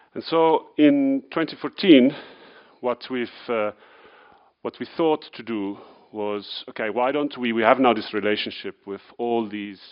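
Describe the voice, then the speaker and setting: A man with an Italian accent, medium pitch, ordinary pitch variation, big swings in loudness, and a fairly slow pace with long, frequent pauses. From Italy. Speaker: wine retail entrepreneur. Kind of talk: conference talk. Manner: hesitant, many fillers.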